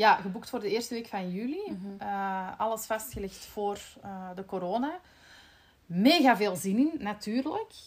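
At a moderate pace, a woman talks at medium pitch. She has an unremarkable speaking voice. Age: 30s. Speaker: podcast host, marketing employee. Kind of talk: casual chat.

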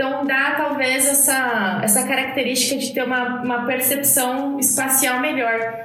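In a room with audible echo and noticeable background noise, a high-pitched woman speaks in a monotone, flat intonation at a fairly slow pace with hardly any pauses. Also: very even loudness. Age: 30s. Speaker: podcast host. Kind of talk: casual chat.

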